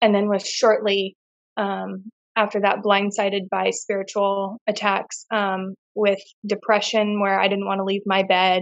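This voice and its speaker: A woman's medium-pitched voice with an American accent, monotone and flat, at a fairly slow pace. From California, US. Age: 20s. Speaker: deliverance minister. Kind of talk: casual interview testimony. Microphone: sound technical issues early on.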